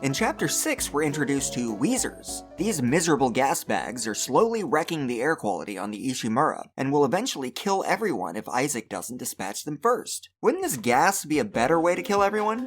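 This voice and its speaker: The speech moves at a fairly quick pace with hardly any pauses, over music in the background. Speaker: video essayist. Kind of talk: video essay narration.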